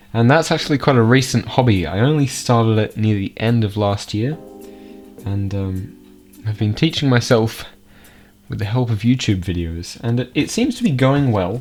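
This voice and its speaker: A man talks with an Australian accent and lively intonation. Music plays in the background. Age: young. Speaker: geocaching vlogger. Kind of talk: casual talk to camera. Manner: casual, hesitant.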